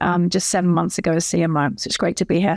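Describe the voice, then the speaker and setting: Medium pitch from a woman, on a very clean recording against a silent background. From Britain. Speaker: chief marketing officer. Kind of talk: corporate panel discussion.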